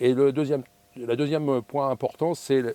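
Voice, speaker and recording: The recording is dry and close, with no echo. A man with a medium-pitched voice speaks at a moderate pace. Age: 60s. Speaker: airline pilot. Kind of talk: interview. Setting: aircraft cockpit. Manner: hesitant with frequent fillers.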